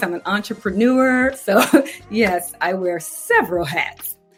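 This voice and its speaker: Music plays in the background as a woman with an American accent speaks. Her pace is fairly slow and her intonation lively. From US Northeast, Philadelphia. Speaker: entrepreneur. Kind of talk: interview.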